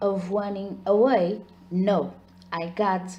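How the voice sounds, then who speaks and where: This woman's voice is somewhat breathy, at a medium pitch. She talks at a very slow pace. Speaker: ASMR storyteller. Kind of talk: ASMR horror story narration.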